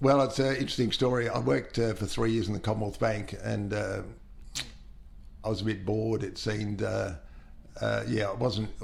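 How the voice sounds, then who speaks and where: Audible room echo colors the voice of a man with an Australian accent speaking at a moderate pace. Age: 70s. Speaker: long-serving steelworks employee. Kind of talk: interview. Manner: halting, many fillers.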